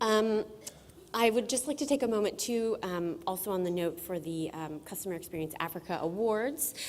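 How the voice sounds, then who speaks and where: A woman's medium-pitched voice with an American accent, lively intonation and a moderate pace, plus audible room echo. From United States. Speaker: conference moderator. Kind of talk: conference welcome speech. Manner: hesitant, many fillers.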